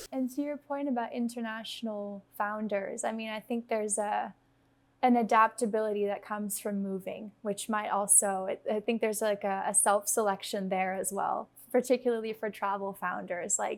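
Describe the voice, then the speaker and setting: With an unremarkable speaking voice, a woman talks at a moderate pace, her fairly high pitch held in fairly even intonation. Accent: American. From United States (Dutch-born). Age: 20s. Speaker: startup founder, guest. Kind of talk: casual interview chat.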